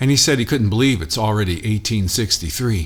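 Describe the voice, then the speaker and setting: A man talks at a fairly quick pace in an ordinary speaking voice. His pitch is medium, with ordinary pitch variation. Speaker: spoken word poet. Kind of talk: poetry reading.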